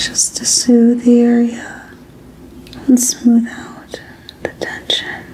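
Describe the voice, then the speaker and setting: Whispering very slowly in a gentle tone, a woman leaves long, frequent pauses and swings widely in loudness over noticeable background noise. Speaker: ASMR artist doing a doctor roleplay. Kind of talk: ASMR medical roleplay for sleep. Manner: soft-spoken, gentle, calming.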